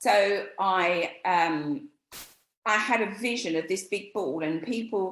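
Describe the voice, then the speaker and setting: This woman speaks in an English accent. Her intonation is lively. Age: 60s. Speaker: image stylist. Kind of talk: interview.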